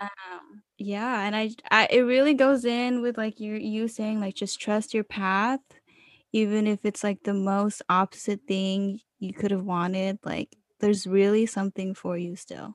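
An ordinary speaking voice from a woman at medium pitch, fairly slow and fairly even in intonation, with a dry, close sound and no echo. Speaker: guest, college student. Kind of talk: casual chat. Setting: video call.

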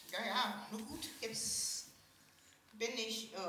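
A woman's fairly high voice at a very slow pace, with audible room echo and noticeable background noise. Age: 50s. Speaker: early retiree living in supported housing. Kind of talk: casual chat.

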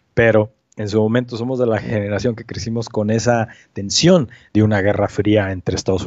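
A man with a fairly low voice and a normal speaking voice. He talks at a fairly quick pace with ordinary pitch variation. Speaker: amateur astronomy researcher. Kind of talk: casual interview.

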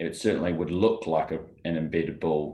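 Very deep, low male voice with ordinary pitch variation against a quiet background. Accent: Australian. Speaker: golf rules expert co-host. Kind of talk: casual chat. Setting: video call.

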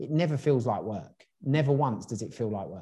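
Somewhat breathy and dark, mellow in tone, a man talks at a moderate pace in a medium pitch. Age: 30s. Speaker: entrepreneur. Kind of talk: interview.

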